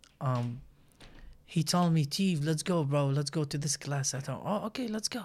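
This man has a fairly high pitch and a somewhat breathy voice. He keeps a moderate pace. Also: ordinary pitch variation, very clean recording, silent background. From Iraq. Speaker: barber. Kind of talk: casual chat.

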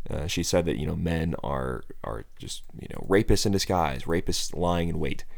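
With an American accent, a man talks in a very deep, low pitch with vocal fry and hardly any pauses, and audible room echo surrounds him. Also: ordinary pitch variation, moderate pace. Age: 20s. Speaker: political podcast host. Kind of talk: solo political commentary.

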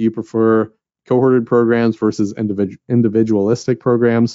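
At a fairly quick pace, a man speaks with medium pitch and fairly even intonation in a plain, everyday voice. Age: 30s. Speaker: enrollment research presenter. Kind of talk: webinar presentation.

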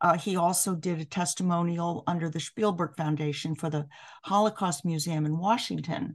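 A woman with an American accent and a plain, everyday voice speaks at a moderate pace with a fairly low pitch and fairly even intonation against a quiet background. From New York City. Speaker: piano professor. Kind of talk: interview.

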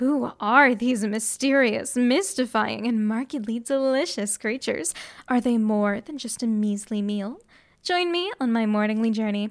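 A woman uses a theatrical, playful tone at a fairly high pitch, with ordinary pitch variation and a fairly slow pace. The recording is very clean, with a silent background. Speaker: college radio host playing a vampire student. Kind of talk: dramatic narration. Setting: radio broadcast. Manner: theatrical, playful, animated; dramatic, storyteller delivery with comic asides.

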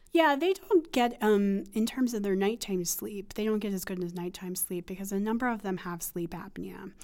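Speaking with an American accent at medium pitch, a woman moves at a moderate pace with ordinary pitch variation. She hardly pauses. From US Northeast, rural western Pennsylvania. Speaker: psychology professor and researcher. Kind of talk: interview. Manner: halting, many fillers.

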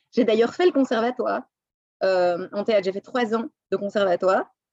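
Lively intonation marks this woman's speech at a fairly quick pace. The sound is dry and close, with no echo. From Belgium, Brussels. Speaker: French teacher. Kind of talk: interview. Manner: halting.

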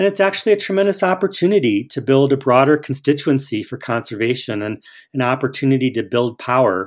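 Very fast speech in an American accent with very wide pitch swings, on a very clean recording with a silent background. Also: man, medium pitch for a man. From Ohio, Cleveland. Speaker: environmental studies professor. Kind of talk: interview. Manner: halting.

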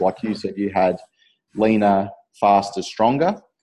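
The man's voice is fairly low in pitch, with a dark, mellow tone. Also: quiet background. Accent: Australian. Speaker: fitness podcast host, personal trainer. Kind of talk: casual interview.

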